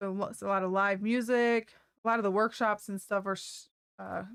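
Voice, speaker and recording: This woman's voice sits at a medium pitch, and she talks at a moderate pace. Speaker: music store livestream co-host. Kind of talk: casual news roundup on a livestream. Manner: loud. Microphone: poorly placed microphone.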